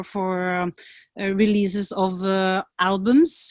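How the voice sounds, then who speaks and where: A woman with a Norwegian accent, medium in pitch, at a very slow pace, in a dry, close sound with no echo against a quiet background. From Norway, rural valley between Oslo and Bergen. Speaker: PR consultant and music coach. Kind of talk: interview.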